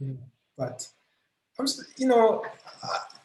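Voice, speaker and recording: A man is speaking. He has a non-native accent. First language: not English. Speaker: musician. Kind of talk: interview. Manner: hesitant, many fillers.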